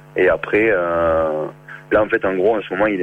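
With noticeable background noise, a man in a southern French accent talks at a fairly quick pace in a very deep, low pitch. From southern France, near Béziers. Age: 30s. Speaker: working holiday traveller. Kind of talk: phone interview. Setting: phone call. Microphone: far from the phone.

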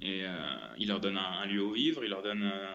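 Audible room echo surrounds a man speaking with a fairly low pitch. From Brittany, France. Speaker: traveller, former cook. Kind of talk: remote interview. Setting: phone call from an apartment hallway. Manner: halting, many repetitions.

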